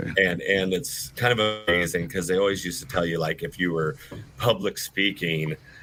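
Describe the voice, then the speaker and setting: Over music in the background, the speaker keeps a moderate pace with ordinary pitch variation. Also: man, very deep, low pitch for a man. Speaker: auctioneer, auctioneer school representative. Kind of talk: casual podcast conversation.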